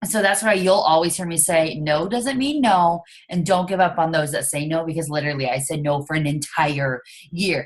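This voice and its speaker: Moderate pace, ordinary pitch variation, and a fairly low pitch from a woman. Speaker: fitness coach. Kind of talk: casual chat. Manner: loud.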